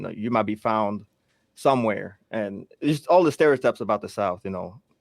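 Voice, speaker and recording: Recorded very cleanly against a silent background, a man with an unremarkable speaking voice and medium pitch talks at a fairly quick pace. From Togo, West Africa, raised partly in Maryland and DC. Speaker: production company owner. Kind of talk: interview.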